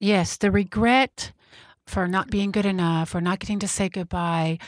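At a moderate pace, a woman with an American accent speaks at a medium pitch with fairly even intonation, recorded very cleanly against a silent background in a dry, close sound with no echo. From Texas, Fort Worth. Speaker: medium and meditation guide. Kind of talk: interview.

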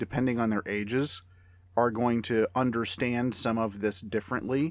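In a very clean recording with a silent background, a man speaks in an ordinary speaking voice at a medium pitch and a moderate pace. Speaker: podcast panelist and film reviewer. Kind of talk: casual review discussion.

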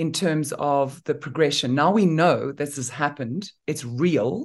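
Against a quiet background, a woman with a very deep, low pitch speaks at a very slow pace with lively intonation. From Namibia. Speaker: former beauty queen and humanitarian, interviewer. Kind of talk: interview conversation.

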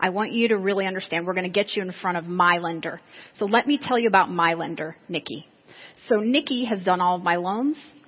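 A woman with an unremarkable speaking voice talks fairly quickly at a medium pitch, with ordinary pitch variation. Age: 40s. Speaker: real estate agent and sales trainer. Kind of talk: seminar talk.

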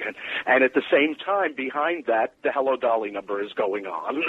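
An unremarkable speaking voice: a man with an American accent, medium pitch, lively intonation and a moderate pace. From New York. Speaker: musical theatre writer. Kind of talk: casual interview chat. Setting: phone call.

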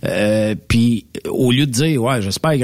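A man's plain, everyday voice at medium pitch, with ordinary pitch variation and a moderate pace. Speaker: radio host. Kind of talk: casual chat.

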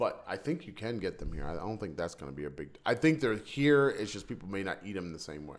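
A man's fairly low pitch with very wide swings, delivered at a very fast pace. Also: big swings in loudness. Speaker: podcast co-host. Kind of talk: casual chat. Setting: home studio. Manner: loud.

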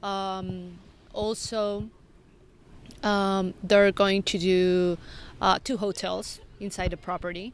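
Against a quiet background, a woman with a medium pitch speaks very slowly in a monotone, flat intonation, leaving long, frequent pauses. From Mexico City. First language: Spanish. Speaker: resort marketing manager. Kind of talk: interview.

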